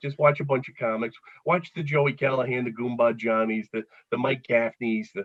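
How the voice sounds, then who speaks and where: A man speaks at medium pitch with a Philadelphia accent. His tone is energetic. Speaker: comedian. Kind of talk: casual chat. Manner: fast, energetic.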